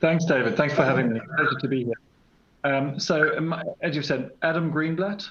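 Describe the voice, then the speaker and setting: Over noticeable background noise and audible room echo, a man speaks at a moderate pace with a fairly high pitch and ordinary pitch variation. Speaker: company CEO. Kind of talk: conference panel introduction. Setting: conference panel.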